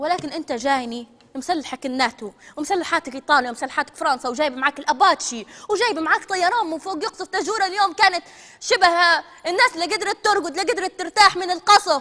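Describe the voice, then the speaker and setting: A woman's raised, projected voice at an extremely high pitch, with very wide pitch swings, a fairly quick pace and a Libyan accent, over a quiet background. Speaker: TV presenter. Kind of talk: live TV broadcast address. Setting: TV studio. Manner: hysterical, threatening. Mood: defiant, threatening. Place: studio.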